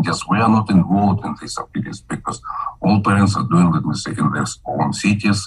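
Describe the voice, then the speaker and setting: A man with a fairly low pitch talks at a fairly quick pace amid noticeable background noise. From Kazakhstan. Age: 70s. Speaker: physician and microbiologist. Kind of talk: interview. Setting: video call. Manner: halting.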